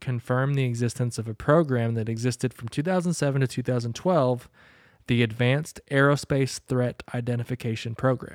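With an unremarkable speaking voice, a man talks at a fairly quick pace and medium pitch, the sound dry and close with no echo. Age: 30s. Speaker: podcast co-host. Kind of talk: casual chat.

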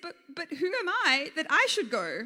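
A woman's put-on character voice, high-pitched and bright and sharp in tone, with very wide pitch swings at a moderate pace.

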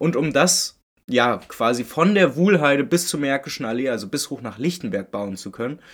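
In an ordinary speaking voice, a man talks at a moderate pace with fairly high pitch and lively intonation. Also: very clean recording, silent background. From Berlin-Köpenick, eastern Berlin. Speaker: football podcaster. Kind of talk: solo podcast monologue.

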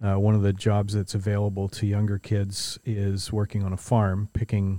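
A man with a Canadian accent, fairly low in pitch, with a dark, mellow tone and monotone, flat intonation, at a moderate pace, on a very clean recording with a silent background and a dry, close sound with no echo. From Ontario, Canada (St. Catharines). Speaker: racing coach and automotive event business owner. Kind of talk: casual chat. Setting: in a workshop.

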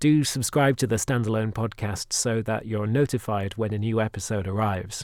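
Someone speaks at a moderate pace with a British accent and ordinary pitch variation, on a very clean recording with a silent background. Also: man. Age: 20s. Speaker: podcast producer and interviewer. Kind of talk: interview and narration.

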